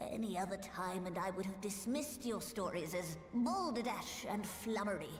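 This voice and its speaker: A woman's put-on character voice at a medium pitch and moderate pace, with slight echo. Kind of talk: archaic formal speech. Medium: video game. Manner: formal, erudite.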